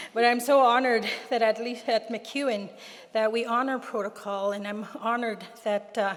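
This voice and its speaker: Noticeable background noise sits under a woman's fairly high voice as she talks at a moderate pace with fairly even intonation. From Plains Cree lands, Alberta, Canada. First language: Plains Cree. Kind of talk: ceremonial address and prayer. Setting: convocation ceremony with audience.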